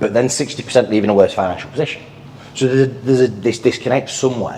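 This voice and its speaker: A man with a Yorkshire accent speaks at a very fast pace and medium pitch over noticeable background noise. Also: fairly even intonation. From northern England, Sheffield, Yorkshire. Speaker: financial advisor. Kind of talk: podcast interview.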